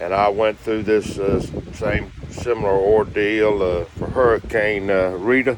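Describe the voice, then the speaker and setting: Through noticeable background noise, a man speaks slowly in a fairly low, monotone voice with flat intonation. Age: 60s. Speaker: hurricane survivor vlogger. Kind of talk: casual video diary. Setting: inside a motorhome. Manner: halting, many fillers.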